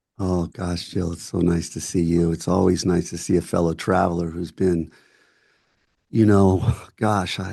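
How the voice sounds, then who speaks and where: Over a quiet background, a man with an American accent speaks at a moderate pace in a very deep, low pitch, his dark, mellow tone held to a monotone, flat intonation. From US Midwest, Michigan. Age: 60s. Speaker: actor and filmmaker. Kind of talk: casual chat.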